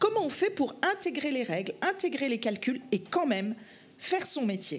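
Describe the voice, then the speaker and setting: Over noticeable background noise, a woman talks at a moderate pace in a high pitch with very wide pitch swings. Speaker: banking federation executive. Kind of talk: panel discussion. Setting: conference stage with audience. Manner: hesitant, many fillers.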